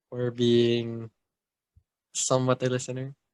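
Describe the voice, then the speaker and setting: Dry and close with no echo, a man's medium-pitched voice moves at a very slow pace. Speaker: podcast co-host. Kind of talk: casual chat.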